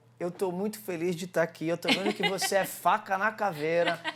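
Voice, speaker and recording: A man keeps a moderate pace while background noise stays clearly audible. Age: 40s. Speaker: martial arts coach and entrepreneur. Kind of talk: interview. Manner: animated.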